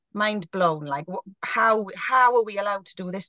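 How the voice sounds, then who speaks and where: A woman with a Welsh accent, medium pitch and lively intonation, in a dry, close sound with no echo. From South Wales. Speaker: guest, sober blogger. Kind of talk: casual interview chat. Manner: loud, talkative.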